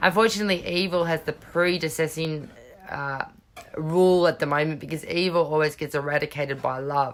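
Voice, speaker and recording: At a fairly quick pace, a woman talks with a very deep, low pitch and fairly even intonation. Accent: Australian. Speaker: tarot reader. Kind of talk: tarot reading monologue.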